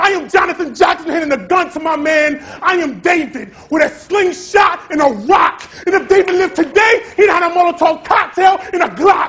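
An intense, shouting man with an American accent, extremely high-pitched, at a moderate pace with ordinary pitch variation. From Rochester, New York, by way of Atlanta. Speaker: spoken word poet. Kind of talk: slam poetry performance. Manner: intense, defiant. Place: stage.

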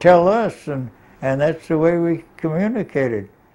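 The speaker talks at a fairly slow pace with a Northern California accent. Their intonation is lively. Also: man. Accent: Northern California American English. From Sonoma County, California, USA. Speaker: farmer's son, local history oral history interviewee. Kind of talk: oral history interview answer. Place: home room.

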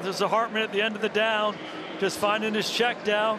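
At a moderate pace, the voice is raised and projected with an energetic tone. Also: man. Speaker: color analyst. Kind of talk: live game analysis, explaining plays between snaps. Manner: energetic, emphatic, conversational, praising players.

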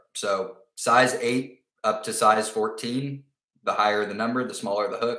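A man speaks at a fairly low pitch with a fairly bright tone. His intonation is fairly even, the pace is fairly slow, and room echo can be heard.

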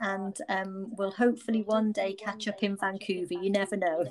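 The intonation stays fairly even in an ordinary speaking voice. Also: woman. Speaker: podcast host. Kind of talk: casual interview. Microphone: echo on recording.

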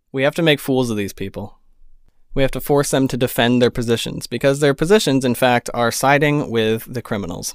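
The man's voice is recorded dry, with no echo, against a quiet background. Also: ordinary pitch variation, fairly quick pace. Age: 20s. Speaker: political commentary vlogger. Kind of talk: solo political commentary monologue. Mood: firm, indignant. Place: home room. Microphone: studio mic.

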